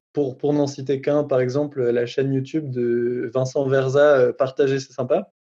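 A man speaks at a fairly slow pace with hardly any pauses, his voice medium-pitched with a dark, mellow tone. His intonation stays monotone and flat. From France, Strasbourg (Alsace). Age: 20s. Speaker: rapper and songwriter. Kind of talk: testimony. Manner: hesitant, many fillers.

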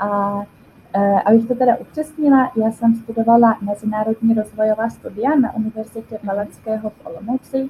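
Somewhat breathy and fairly high-pitched, a woman speaks at a fairly quick pace with fairly even intonation, big swings in loudness and a dark, mellow tone. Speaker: volunteer. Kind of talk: interview. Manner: hesitant, many fillers.

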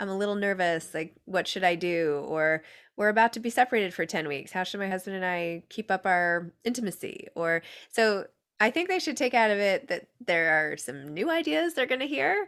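A woman with an ordinary speaking voice talks at a medium pitch and a moderate pace, her intonation lively. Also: very clean recording, silent background. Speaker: podcast host and author. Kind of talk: casual interview chat. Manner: giggly, laughs often.

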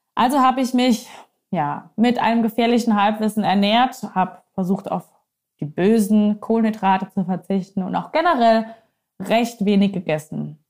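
A woman's somewhat breathy, fairly high voice at a moderate pace, with ordinary pitch variation. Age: 30s. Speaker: nutrition and life coach, podcast host. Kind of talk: solo personal podcast monologue.

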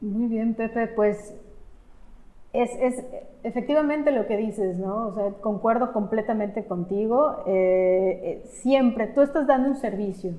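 In a Mexican accent, the speaker goes at a fairly slow pace with a dark, mellow tone and ordinary pitch variation. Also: woman, fairly high pitch for a woman. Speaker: podcast host. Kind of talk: interview.

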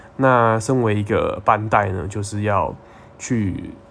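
A man is talking. His pitch variation is ordinary. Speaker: podcast host. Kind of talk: casual monologue.

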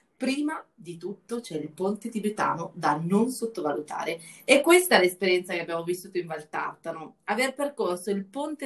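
Speaking at a moderate pace, the voice shows lively intonation and is a normal speaking voice. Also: woman. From Lombardy, northern Italy. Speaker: travel journalist and podcast host. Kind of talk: casual chat.

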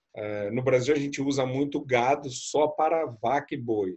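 At a moderate pace, a man speaks with medium pitch and ordinary pitch variation. His voice is somewhat breathy. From Brazil, Rio de Janeiro. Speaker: tour guide. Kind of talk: casual chat.

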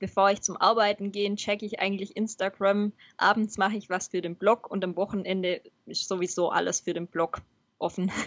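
The woman speaks at a medium pitch with monotone, flat intonation. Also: fairly quick pace. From Baden-Württemberg, Swabia. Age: 20s. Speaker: software developer and cycling blogger. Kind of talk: podcast interview.

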